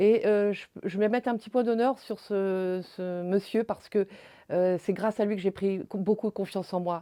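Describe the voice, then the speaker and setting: In a dry, close recording with no echo and a quiet background, a woman speaks at medium pitch and a moderate pace, her tone dark and mellow and her intonation fairly even. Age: 60s. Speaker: retired social association founder. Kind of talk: interview testimony. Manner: halting, many hesitations.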